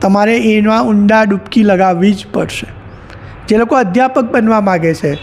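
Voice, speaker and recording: Ordinary pitch variation is heard over noticeable background noise. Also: man, high pitch for a man. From Surat, Gujarat. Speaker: professor and poet. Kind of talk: interview.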